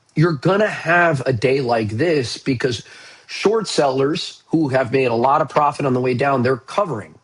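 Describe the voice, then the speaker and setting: This is a man with a somewhat breathy voice. He talks at a fairly slow pace. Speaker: stock market commentator. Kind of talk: market update video. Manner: casual.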